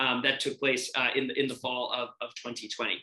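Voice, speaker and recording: A man talks here. He has an American accent. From New York City (Brooklyn). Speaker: voting rights advocate. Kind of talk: interview. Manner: halting, with repetitions and fillers.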